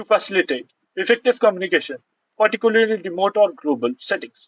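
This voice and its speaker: Here a man talks at a high pitch. He goes at a very fast pace. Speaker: online tutor for university exams. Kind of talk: lecture.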